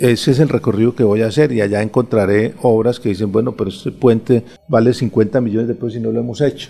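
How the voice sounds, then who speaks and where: A man speaks at a medium pitch with a dark, mellow tone and fairly even intonation. His pace is very fast, with hardly any pauses. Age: 50s. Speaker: retired army general and political candidate. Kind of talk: radio interview. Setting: radio studio.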